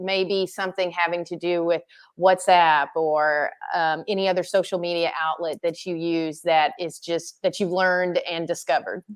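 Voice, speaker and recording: In a quiet setting, a woman with an ordinary speaking voice talks at a moderate pace and a fairly low pitch. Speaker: charity runner and interviewer. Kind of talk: interview host talk. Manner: upbeat.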